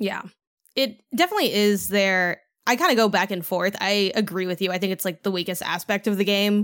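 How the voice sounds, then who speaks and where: With an unremarkable speaking voice, a woman talks at a medium pitch and a fairly quick pace with fairly even intonation, on a very clean recording with a silent background. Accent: American. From Chicago, US Midwest. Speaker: game critic and podcaster. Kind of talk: casual chat.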